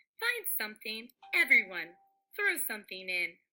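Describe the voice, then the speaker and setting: A female-sounding put-on character voice sits at a fairly high pitch for a woman. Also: moderate pace. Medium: read story.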